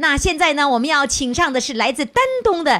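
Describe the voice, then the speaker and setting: Her voice raised and projected, a woman speaks at a high pitch with very wide pitch swings. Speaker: radio host. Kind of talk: live radio call-in show with audience. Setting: stage with audience.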